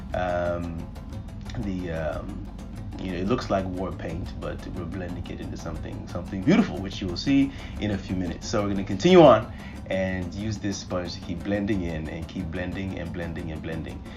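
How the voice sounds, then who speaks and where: Music plays behind a man with a very deep, low pitch whose animated, playful tone comes with big swings in loudness at a moderate pace. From Nigeria. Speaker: guest voiceover narrator. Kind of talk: humorous makeup tutorial voiceover.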